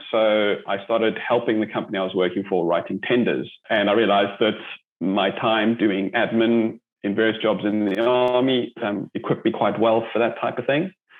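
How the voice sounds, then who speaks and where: A man with a South African accent talks at a moderate pace. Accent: South African, lasting. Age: 40s. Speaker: army veteran and entrepreneur. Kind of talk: interview. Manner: hesitant, many fillers.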